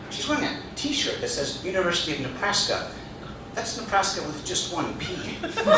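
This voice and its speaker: The voice swings very widely in pitch, with noticeable background noise behind it. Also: man, high pitch for a man, moderate pace. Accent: American. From Boston. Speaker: storyteller and comedian. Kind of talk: first-person comedic travel story.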